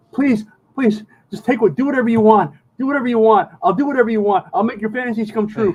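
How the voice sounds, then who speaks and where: Putting on a squeaky character voice, a man talks very fast at a high pitch with ordinary pitch variation. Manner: pleading, terrified.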